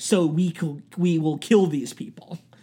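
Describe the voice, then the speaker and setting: A man with a British accent talks at a high pitch. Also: very clean recording, silent background. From Britain. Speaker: podcast host and actor. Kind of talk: casual chat. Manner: animated.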